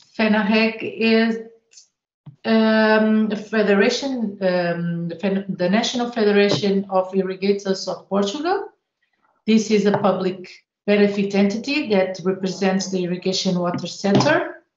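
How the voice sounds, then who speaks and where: Against audible room echo, a woman speaks at a fairly slow pace with ordinary pitch variation. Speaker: presenter. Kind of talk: brief organisation description. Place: home room. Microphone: video call.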